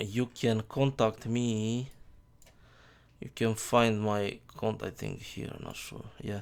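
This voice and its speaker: A man with a non-native accent speaks very slowly at a medium pitch. His intonation is flat and monotone, with big swings in loudness. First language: not English. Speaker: software developer. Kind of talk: tutorial. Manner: halting.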